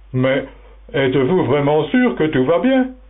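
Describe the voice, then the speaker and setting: Putting on a character voice, a man speaks at a fairly slow pace with a fairly high pitch over light background noise. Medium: audio drama. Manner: blunt, brusque, loud.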